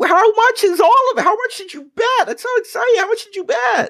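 A put-on character voice, female-sounding, at an extremely high pitch and a fairly quick pace. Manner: squawking, excited.

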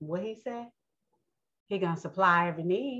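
A woman with a New York accent and ordinary pitch variation. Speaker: religious podcast host. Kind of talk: bible teaching monologue. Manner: casual, conversational; halting, many fillers.

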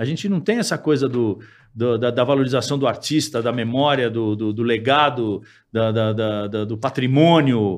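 A man speaks in a plain, everyday voice at medium pitch, with ordinary pitch variation and a moderate pace. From São Paulo, Brazil. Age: 50s. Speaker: musician. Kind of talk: casual interview chat.

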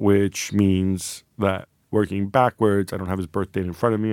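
A man speaks at a fairly low pitch in a very clean recording with a silent background, the sound dry and close with no echo. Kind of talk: casual chat, telling an anecdote. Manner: animated, conversational, mimicking quotes.

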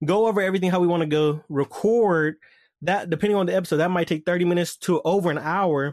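In a quiet background with dry, close sound and no echo, a man talks at a very fast pace, his high pitch keeping fairly even intonation. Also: very even loudness. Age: 20s. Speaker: podcast host. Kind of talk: casual monologue.

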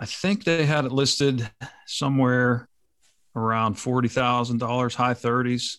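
An ordinary speaking voice from a man with an American accent, medium in pitch and fairly slow in pace, on a very clean recording with a silent background. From western Pennsylvania, US. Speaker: police officer and landowner. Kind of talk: casual interview conversation.

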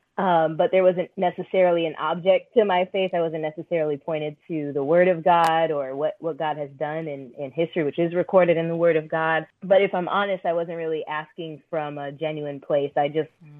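A woman in an American accent speaks with an ordinary speaking voice, a fairly low pitch and fairly even intonation, her loudness swinging widely. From Orlando, Florida. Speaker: spoken word poet and author. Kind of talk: interview.

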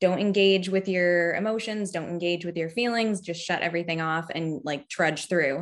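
A woman speaks in a plain, everyday voice, fairly low in pitch, with an American accent. Her pace is moderate, with hardly any pauses and ordinary pitch variation. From Massachusetts (Cape Cod). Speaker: sex educator and tarot reader. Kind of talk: casual interview.

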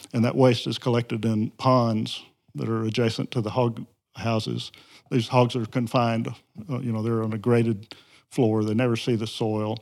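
A man speaks at a moderate pace in a Southern US accent. His intonation is monotone and flat. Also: medium pitch for a man. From Mississippi Delta, US South. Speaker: environmental advocacy group president. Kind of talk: interview.

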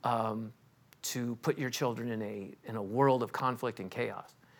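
A man with a Californian accent, speaking at a fairly slow pace, on a very clean recording with a silent background. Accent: Californian American. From Los Angeles. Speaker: estate planning attorney. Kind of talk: interview.

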